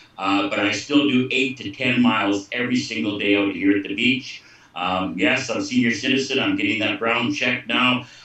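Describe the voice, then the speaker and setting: Over noticeable background noise, a man talks at a medium pitch with fairly even intonation and hardly any pauses. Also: moderate pace. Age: 60s. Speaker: former pro hockey goaltender. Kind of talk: testimony.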